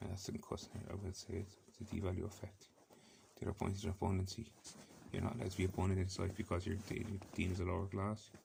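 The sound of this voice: Gravelly and slightly mellow, a man's low-pitched voice moves at a fast pace with vocal fry and monotone, flat intonation.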